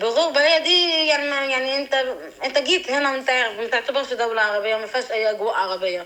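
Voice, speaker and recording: Over noticeable background noise, a woman talks in a raised, projected, high-pitched voice with lively intonation and a fairly quick pace. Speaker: interviewee. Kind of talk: interview.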